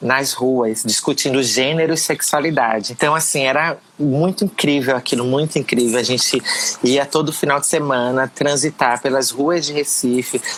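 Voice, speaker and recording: With hardly any pauses, a woman speaks in a very deep, low voice and fairly even intonation over noticeable background noise. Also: moderate pace, very even loudness. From Pernambuco, Brazil. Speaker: educator and politician. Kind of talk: interview answer.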